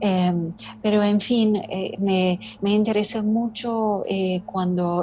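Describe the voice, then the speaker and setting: A woman with a non-native accent speaks very slowly in a dark, mellow, somewhat breathy tone, her intonation monotone and flat. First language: not Spanish (speaking Spanish). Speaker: writer. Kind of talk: interview conversation. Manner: halting, many fillers.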